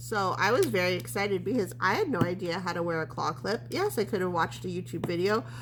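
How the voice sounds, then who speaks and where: Over noticeable background noise, someone talks at a very fast pace in an animated tone with hardly any pauses. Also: woman. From Canada, Edmonton. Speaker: craft video creator. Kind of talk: casual chat. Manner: rambling, animated.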